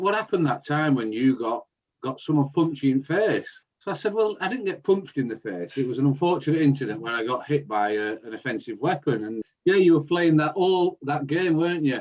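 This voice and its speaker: A man with a fairly high pitch and a Lancashire accent talks at a fairly quick pace with lively intonation. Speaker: podcast co-host. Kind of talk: casual chat. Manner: loud.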